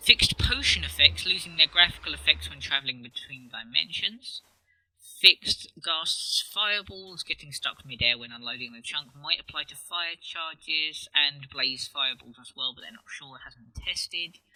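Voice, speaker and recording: At a moderate pace, a man talks with big swings in loudness, recorded with a dry, close sound and no echo. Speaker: gaming youtuber. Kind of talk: game update commentary. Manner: casual with fillers.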